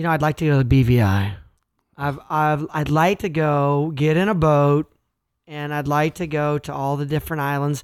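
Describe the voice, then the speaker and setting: Speaking at a moderate pace with a Midwestern US accent, a man's voice sits fairly high. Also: very clean recording, silent background. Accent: rural Midwestern American. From Kansas, US Midwest. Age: 30s. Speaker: entrepreneur. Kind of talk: casual interview. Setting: recorded late at night.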